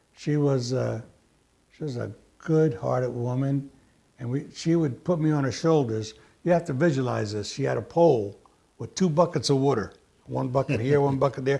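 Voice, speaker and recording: This man's voice sits fairly high and sounds somewhat breathy, with a dark, mellow tone. He talks at a moderate pace with ordinary pitch variation. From US, emigrated from Sicily at six. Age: 70s. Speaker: immigrant sharing family memories. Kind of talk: casual interview reminiscing. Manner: halting with fillers.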